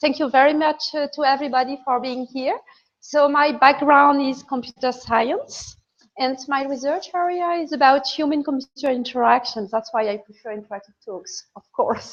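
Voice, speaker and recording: A woman talks in a French accent. Her pitch is high. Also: ordinary pitch variation, moderate pace. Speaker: computer science professor. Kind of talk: lecture.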